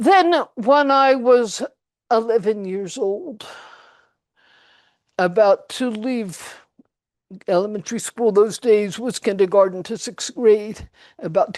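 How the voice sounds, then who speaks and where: With a quiet background, a woman speaks very slowly in a fairly high pitch, using lively intonation and long, frequent pauses. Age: 80s+. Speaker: spiritual teacher and channeler. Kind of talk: personal story told to an audience.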